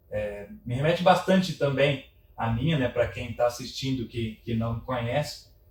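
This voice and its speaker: A man at a medium pitch, speaking at a fairly slow pace with ordinary pitch variation. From interior São Paulo state, Brazil (Orlândia). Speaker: construction industry professional. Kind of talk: casual interview chat.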